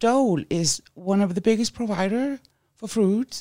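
In a German accent, a woman with a dark, mellow tone and lively intonation speaks at a fairly slow pace, with a dry, close sound with no echo. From Germany. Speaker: guest, waste-reduction enthusiast. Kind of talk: casual chat.

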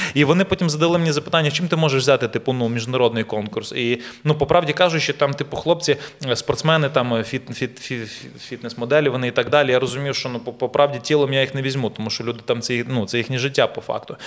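Very fast pace and ordinary pitch variation in a man's medium-pitched voice. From Ukraine. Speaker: actor and model. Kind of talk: casual chat. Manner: animated storytelling.

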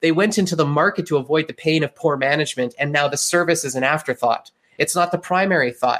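A man with a Western Canadian accent at a very fast pace, with ordinary pitch variation. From Canada (Calgary, Alberta). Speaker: digital marketing agency owner. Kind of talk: interview.

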